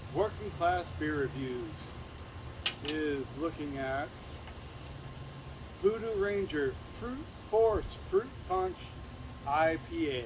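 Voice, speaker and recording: Lively intonation comes at a very slow pace with long, frequent pauses over noticeable background noise. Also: man, fairly high pitch for a man. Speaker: beer reviewer. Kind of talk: product review. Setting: outdoors. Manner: loud.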